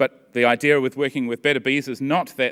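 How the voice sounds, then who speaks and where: A man speaks at a fairly quick pace, and the background is quiet. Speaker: university researcher; conference presenter. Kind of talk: conference talk. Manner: fast. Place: hall. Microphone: podium.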